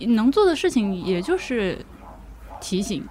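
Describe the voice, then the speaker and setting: Her voice is somewhat breathy. The woman talks at a moderate pace. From Hubei (Laohekou). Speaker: podcaster, guest. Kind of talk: casual chat. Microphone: poor audio quality.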